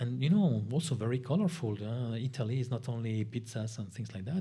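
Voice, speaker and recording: Somewhat breathy, with a dark, mellow tone, a man talks at a medium pitch and a fairly quick pace amid audible room echo. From Spain, grew up in France. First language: Spanish. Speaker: lecturer on European affairs. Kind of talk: guest lecture.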